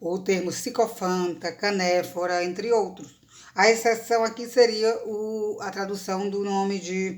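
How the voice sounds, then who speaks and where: A woman's medium-pitched, unremarkable speaking voice with fairly even intonation at a fairly slow pace. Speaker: university professor of Greek language and literature. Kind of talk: academic lecture talk to camera.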